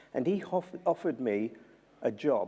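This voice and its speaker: This man speaks with a South London accent and a dark, mellow tone. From South London, England. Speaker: journalist and former prisoner. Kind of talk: keynote talk. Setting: university symposium. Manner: repetitive, halting in places.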